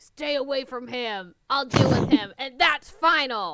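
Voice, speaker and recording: Growling in a put-on character voice, a woman projects a raised, high-pitched voice with lively intonation at a fairly slow pace. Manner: serious, stern.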